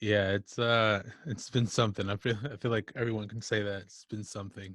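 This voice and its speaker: In a very clean recording with a silent background, a man with a Midwestern American accent talks at a fairly quick pace, his fairly low pitch flat and monotone while his loudness swings widely. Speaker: music artist. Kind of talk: casual interview.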